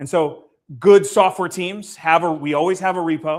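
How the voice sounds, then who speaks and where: Fairly high-pitched, a man talks at a fairly quick pace with ordinary pitch variation. The recording is very clean, with a silent background. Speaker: meetup presenter teaching coding. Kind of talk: live workshop presentation. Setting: room with live audience, also livestreamed. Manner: fast.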